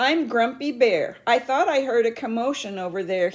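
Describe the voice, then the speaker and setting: In a put-on character voice, a female-sounding speaker projects a raised, raspy voice at a high pitch and a moderate pace. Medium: read story. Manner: kindly advising.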